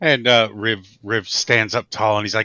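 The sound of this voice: A man speaks with a bright, sharp tone. His pitch is fairly low, and his intonation stays fairly even. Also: moderate pace.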